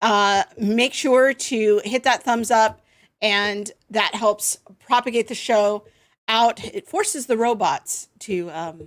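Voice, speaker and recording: At a very slow pace, a woman speaks at a fairly high pitch with ordinary pitch variation on a very clean recording with a silent background. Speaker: livestream show host. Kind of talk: casual chat.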